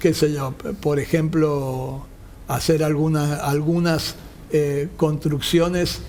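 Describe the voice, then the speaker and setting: Speaking very slowly, a man with a fairly high pitch keeps his intonation fairly even. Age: 60s. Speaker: construction company founder, engineer. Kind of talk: interview.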